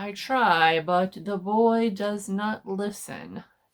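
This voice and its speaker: A female-sounding put-on character voice sits at a medium pitch for a woman. The delivery is very slow. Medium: read story. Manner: curt, cold.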